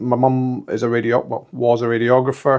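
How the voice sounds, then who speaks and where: This man has a Scottish accent. His voice sits at a medium pitch. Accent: Scottish, deliberately kept. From Scotland. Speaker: entrepreneur and football club director. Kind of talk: interview.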